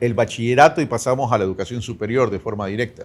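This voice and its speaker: This man has a medium pitch. He talks at a very fast pace. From Ecuador. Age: 60s. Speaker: presidential candidate. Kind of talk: interview.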